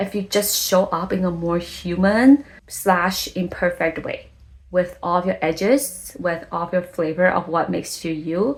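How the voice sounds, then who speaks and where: At a fairly slow pace, a woman with a non-native accent talks at a medium pitch. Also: ordinary pitch variation. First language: not English. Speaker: content creator, vlogger. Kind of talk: vlog monologue. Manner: casual, conversational.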